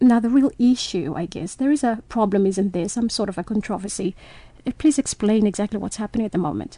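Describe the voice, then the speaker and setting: A fairly high-pitched woman's voice, dark and mellow yet somewhat breathy, with ordinary pitch variation at a fairly quick pace. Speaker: radio host. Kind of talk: radio interview.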